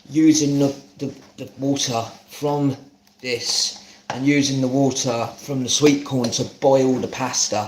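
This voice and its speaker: In a southern English accent, a man at medium pitch speaks at a fairly slow pace with monotone, flat intonation against noticeable background noise. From London, Hackney. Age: 30s. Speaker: home cook streamer. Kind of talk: live cooking stream chat. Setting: live stream.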